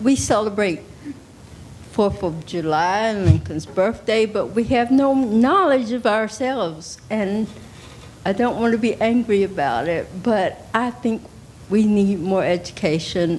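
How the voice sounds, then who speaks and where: Music plays behind a woman speaking at medium pitch. Her pace is fairly slow and her intonation lively. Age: 60s. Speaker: audience member asking a question. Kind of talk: audience question.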